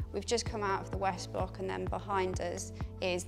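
A woman at a moderate pace with clear music in the background. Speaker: medical student tour guide. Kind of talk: guided tour presentation. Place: hall.

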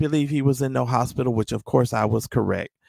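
This man uses a normal speaking voice, and his pitch varies in an ordinary way. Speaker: guest, member of online group. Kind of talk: casual discussion, explaining side. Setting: remote call into livestream.

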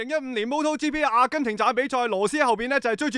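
A man's extremely high-pitched voice with ordinary pitch variation, in a dry, close recording with no echo. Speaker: sports commentator. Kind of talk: live motorsport commentary.

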